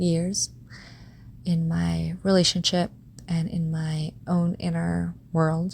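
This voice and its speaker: A woman speaks in a soft-spoken way. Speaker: podcast host. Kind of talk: personal reflective monologue.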